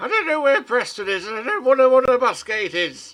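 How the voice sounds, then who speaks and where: Putting on a character voice, a man speaks at a very fast pace and an extremely high pitch. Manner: dismissive, grumpy.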